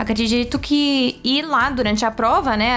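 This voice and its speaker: Over noticeable background noise, a woman talks in a high-pitched voice with fairly even intonation. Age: 20s. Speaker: architect. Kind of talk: casual chat.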